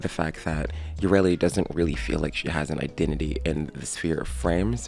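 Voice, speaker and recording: A man speaks with music playing in the background. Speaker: gaming YouTuber. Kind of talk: video game commentary. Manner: casual.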